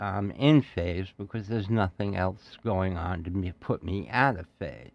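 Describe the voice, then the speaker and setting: This man talks at a very slow pace, with ordinary pitch variation. The background is quiet. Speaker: audio engineering podcaster. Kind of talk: tutorial. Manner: conversational, unscripted.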